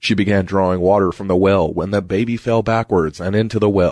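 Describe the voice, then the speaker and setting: The clip has an unremarkable speaking voice with ordinary pitch variation on a very clean recording with a silent background. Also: man. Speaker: podcast host. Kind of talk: ghost story telling, spooky folklore narration.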